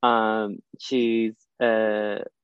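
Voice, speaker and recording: A man with a Southern US accent. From US South (Alabama). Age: 20s. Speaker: dental student. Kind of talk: casual chat. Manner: confident public speaker.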